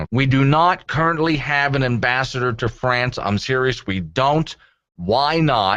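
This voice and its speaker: A man with a normal speaking voice, medium in pitch, with ordinary pitch variation, very even loudness and a fairly slow pace. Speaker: syndicated radio talk show host. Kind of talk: talk radio host banter with callers. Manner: irreverent, conversational, sarcastic.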